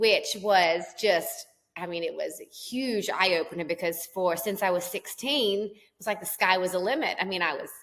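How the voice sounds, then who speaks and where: A woman's medium-pitched voice at a moderate pace, with ordinary pitch variation and hardly any pauses. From Australia. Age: 30s. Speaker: country singer and entrepreneur. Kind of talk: podcast interview.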